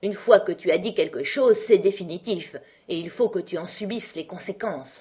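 The text is read in an unforced voice.

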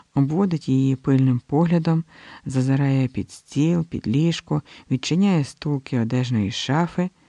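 Natural-voiced reading aloud with pitch that varies in an ordinary way

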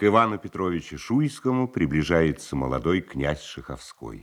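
A man's extremely low voice at a moderate pace, with big pitch swings

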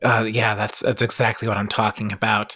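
A man puts on a character voice that is raspy and sits at a medium pitch. His delivery is fairly quick and monotone, with flat intonation. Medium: actual play. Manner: halting, stammering, repeats words.

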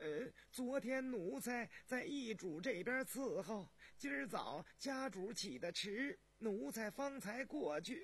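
In a put-on character voice, a man talks at a slow pace with a high pitch and lively intonation.

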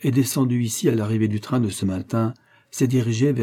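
The delivery is a natural reading voice, and its intonation stays fairly even.

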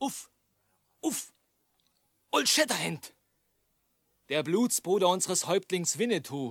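A man speaks slowly in a put-on character voice pitched high for a man, with big pitch swings, vocal fry and a slightly husky edge, on a very clean recording with a silent background.

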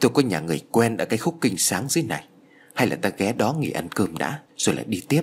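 This reading voice is unforced, and its intonation is lively.

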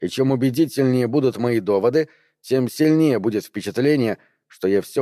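The background stays quiet. It is a natural reading voice.

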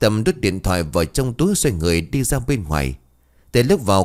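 Reading done in an unforced voice

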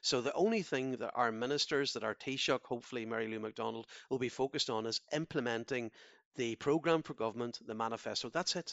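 Talking at a very fast pace, a man with a Donegal accent uses a medium pitch and ordinary pitch variation. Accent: Donegal Irish. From Ireland, Donegal. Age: 50s. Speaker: politician. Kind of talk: interview. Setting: phone line. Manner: halting, frequent repetitions.

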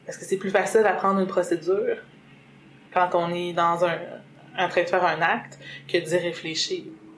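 A woman speaks at a fairly low pitch and moderate pace in a monotone, flat delivery. Long, frequent pauses break her speech, and noticeable background noise is present. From Quebec, Lac-Saint-Jean. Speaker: mother sharing birth experience. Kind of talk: testimony.

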